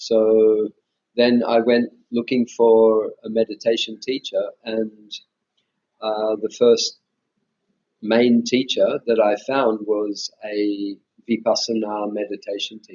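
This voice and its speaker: A man with an Australian accent speaks at a very slow pace in a monotone, flat intonation, with long, frequent pauses and big swings in loudness. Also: medium pitch for a man. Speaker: meditation teacher, former Buddhist monk. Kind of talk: interview conversation. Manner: hesitant, many fillers and restarts.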